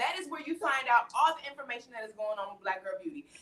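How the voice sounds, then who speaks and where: A woman with a Southern US accent speaks in a bright, sharp, animated tone. Her pitch makes very wide swings. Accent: Southern country twang. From US South, Atlanta. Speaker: talk show host. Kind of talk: live-stream panel chat. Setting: live stream.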